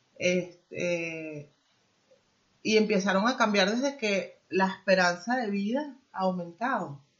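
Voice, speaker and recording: A woman's medium-pitched voice, very slow, with lively intonation and a somewhat breathy quality. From Venezuela. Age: 50s. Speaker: immigrant guest, former manager. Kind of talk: interview.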